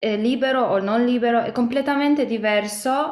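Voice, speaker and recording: In a Polish accent, a woman speaks at a fairly high pitch against a quiet background, with audible room echo. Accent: Polish accent in Italian. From Poland. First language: Polish (speaking Italian). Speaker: singer-songwriter; interviewee. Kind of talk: interview. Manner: halting, many fillers. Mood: warm, relaxed. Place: home room. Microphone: webcam.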